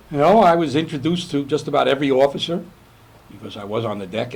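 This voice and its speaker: A man in a New York accent speaks at a very fast pace with very wide pitch swings. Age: 70s. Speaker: navy veteran. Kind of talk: oral history interview. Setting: on board a museum ship. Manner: halting.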